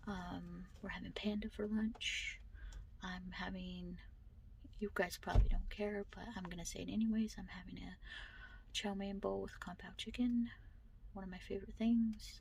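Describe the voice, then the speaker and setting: Soft-spoken, a woman talks with long, frequent pauses and big swings in loudness. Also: moderate pace. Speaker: book vlogger. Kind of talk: casual vlog. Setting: in a car.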